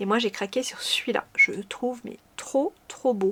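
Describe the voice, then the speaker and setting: A woman's high-pitched voice carries along at a moderate pace. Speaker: knitting podcaster. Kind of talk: casual chat. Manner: hesitant, many fillers.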